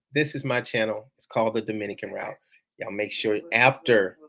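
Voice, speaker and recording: A man talking at a fairly quick pace. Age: 40s. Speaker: YouTuber hosting a live Q&A. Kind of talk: live stream Q&A.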